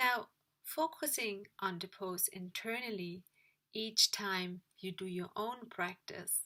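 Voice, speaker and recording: With a non-native accent, a woman speaks very slowly in a bright, sharp tone with ordinary pitch variation. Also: medium pitch for a woman. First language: not English. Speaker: yoga teacher trainee and vlogger. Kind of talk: video diary. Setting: at home in her room.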